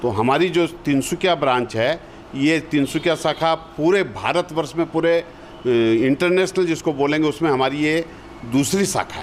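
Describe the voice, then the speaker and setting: There is noticeable background noise behind this man. His voice is fairly high for a man, with ordinary pitch variation. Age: 60s. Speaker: community organisation veteran. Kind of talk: TV interview.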